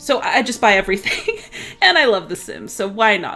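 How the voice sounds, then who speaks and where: Music plays behind the speaker. She is a woman with a fairly high voice. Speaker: gaming youtuber. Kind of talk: casual chat. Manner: fast; animated.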